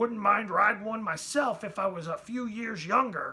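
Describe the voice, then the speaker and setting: Someone puts on a raspy character voice, pitched fairly high and delivered at a moderate pace. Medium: read story. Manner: blunt.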